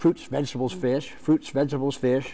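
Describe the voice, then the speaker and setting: A man's voice with a dark, mellow tone. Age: 60s. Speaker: author. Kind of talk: TV interview. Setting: studio. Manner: halting, with frequent restarts.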